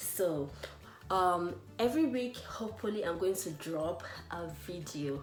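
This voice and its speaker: Speaking at a fairly slow pace in a Nigerian accent, a woman with a fairly low pitch uses lively intonation, with music in the background and audible room echo. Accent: Nigerian Igbo English. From Nigeria, Anambra State. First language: Igbo. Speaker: language teacher. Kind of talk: tutorial.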